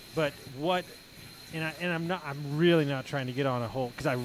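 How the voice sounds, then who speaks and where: Against noticeable background noise, a man with an American accent speaks very fast at a fairly high pitch, with ordinary pitch variation. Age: 40s. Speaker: podcast host and mindset coach. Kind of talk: casual interview.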